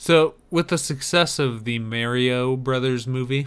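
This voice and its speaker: On a very clean recording with a silent background, a man with a normal speaking voice talks fairly slowly at a medium pitch. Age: 30s. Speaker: podcast co-host. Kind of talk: casual chat.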